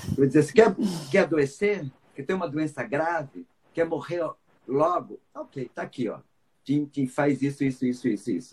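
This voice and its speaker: Fairly high in pitch and somewhat breathy, a man talks with ordinary pitch variation. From Brazil, Rio de Janeiro. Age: 50s. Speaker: psychologist and biodanza teacher. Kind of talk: casual interview on live stream. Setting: Instagram live video call.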